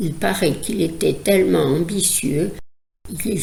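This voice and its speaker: A woman's voice with lively intonation. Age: old. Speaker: psychoanalyst. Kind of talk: educational podcast talk.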